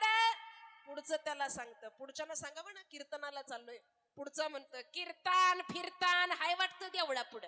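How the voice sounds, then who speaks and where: Her intonation moves in a lively way. The woman uses a raised, projected voice. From Maharashtra, Pandharpur area. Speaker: kirtan performer. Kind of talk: kirtan, devotional storytelling performance. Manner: animated, acting out dialogue.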